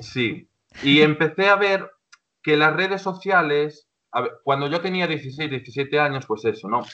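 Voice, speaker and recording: A man with an ordinary speaking voice talks at a fairly slow pace with a fairly high pitch. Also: ordinary pitch variation. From Galicia, Spain (A Coruña province). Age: 20s. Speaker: social educator. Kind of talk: casual interview.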